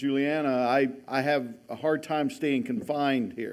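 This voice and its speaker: Audible room echo surrounds a man speaking at a fairly high pitch with fairly even intonation. He talks at a very slow pace. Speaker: history professor. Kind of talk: lecture.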